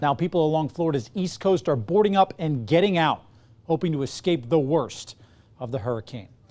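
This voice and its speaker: In a normal speaking voice, a man talks at a fairly quick pace with an American accent. His fairly high pitch carries lively intonation. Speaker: TV news anchor. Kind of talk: TV news anchor delivery.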